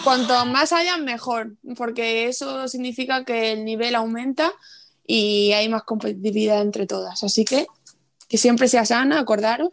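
Speaking in an unremarkable speaking voice, a woman with a fairly high pitch moves at a fairly slow pace with ordinary pitch variation. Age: 20s. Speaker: futsal player. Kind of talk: interview.

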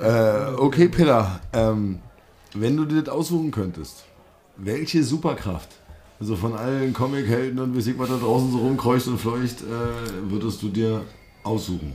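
A man with a plain, everyday voice talks fairly slowly at medium pitch with ordinary pitch variation. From Brandenburg. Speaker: podcast host. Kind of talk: casual chat.

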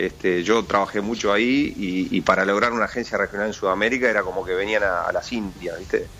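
The man's voice is fairly low, with fairly even intonation. He rushes at a very fast pace and hardly pauses. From Uruguay. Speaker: sports official. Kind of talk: interview.

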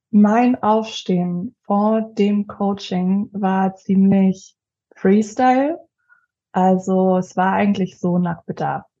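A very slow pace, with a dark, mellow tone and fairly even intonation. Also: woman, medium pitch for a woman. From Leipzig, Saxony, Germany. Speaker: finance advisor and coaching client. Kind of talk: casual interview.

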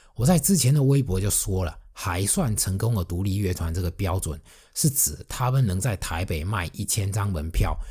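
Fairly low-pitched, somewhat breathy male voice with a dark, mellow tone, lively intonation and a moderate pace, on a very clean recording with a silent background. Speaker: music blogger and podcast host. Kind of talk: solo podcast monologue. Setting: alone at a microphone.

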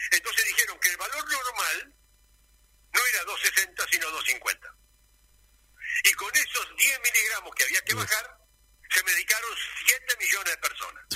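Amid noticeable background noise, a man speaks with long, frequent pauses. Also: fairly slow pace. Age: 70s. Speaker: doctor. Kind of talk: radio interview. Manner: animated.

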